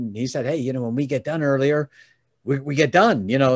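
A man speaks with an American accent. The recording is very clean with a silent background. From Chicago area, US Midwest. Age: 60s. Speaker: giving advocate and podcast host. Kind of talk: casual interview, storytelling.

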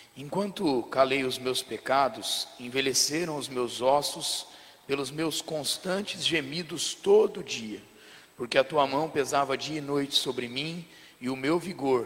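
Very slowly, a fairly high-pitched man speaks with ordinary pitch variation while noticeable background noise carries on. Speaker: pastor reading scripture aloud. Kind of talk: reading aloud.

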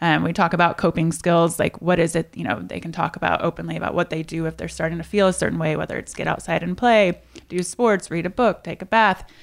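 With hardly any pauses, a woman talks at a very fast pace in a fairly low pitch, with vocal fry. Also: ordinary pitch variation. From US Midwest, Indiana. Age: 30s. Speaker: fitness entrepreneur. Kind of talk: interview.

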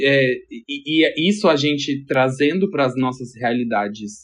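With an ordinary speaking voice and lively intonation, a man speaks fairly slowly at a fairly high pitch. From Brasília. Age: 30s. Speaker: stylist. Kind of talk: casual chat.

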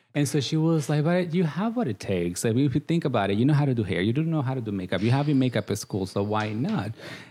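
With a Guatemalan accent, a man speaks very fast with hardly any pauses, his dark, mellow tone moving in very wide pitch swings. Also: medium pitch for a man. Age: 30s. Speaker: makeup artist, reality TV contestant. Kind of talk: casual interview. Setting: studio.

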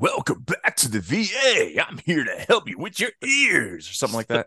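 Here a man uses a put-on character voice. He speaks at a moderate pace. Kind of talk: showman-like. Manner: loud, brash, exaggerated.

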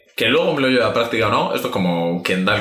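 A man talks at a very fast pace. Noticeable background noise and audible room echo come through. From Spain. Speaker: podcast co-host. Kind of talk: casual chat.

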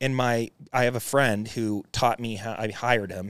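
In a very clean recording, a man speaks against a silent background. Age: 40s. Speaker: real estate investor and Navy veteran. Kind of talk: casual interview. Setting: studio office. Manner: animated.

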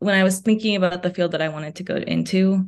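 A woman's very fast delivery in an American accent, medium in pitch with fairly even intonation. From New York City and New Jersey. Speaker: psychology grad student. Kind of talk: podcast interview.

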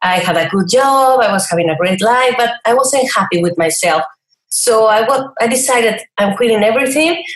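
With a Spanish accent, a woman talks at a fairly high pitch and a moderate pace. Her loudness is very even and her intonation lively. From Mexico, Chihuahua. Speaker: online cooking entrepreneur. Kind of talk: interview.

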